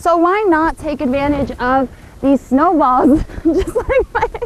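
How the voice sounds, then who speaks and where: A woman at a fairly slow pace with lively intonation, over noticeable background noise. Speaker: television news reporter. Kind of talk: broadcast news reporter stand-up and voiceover.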